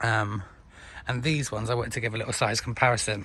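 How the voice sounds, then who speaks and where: With a British accent, a man speaks at a medium pitch with ordinary pitch variation and some vocal fry. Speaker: tropical gardening hobbyist. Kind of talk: casual talk to camera. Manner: casual, hesitant with fillers.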